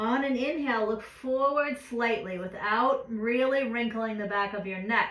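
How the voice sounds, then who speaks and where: A woman with a fairly high pitch and calm tone speaks at a fairly slow pace with ordinary pitch variation, amid audible room echo and noticeable background noise. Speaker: yoga teacher. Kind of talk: guided yoga class.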